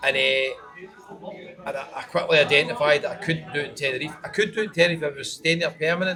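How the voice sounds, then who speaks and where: A man talks very fast with a Scottish accent. Background noise is noticeable. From Scotland. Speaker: travel vlogger. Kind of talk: casual interview.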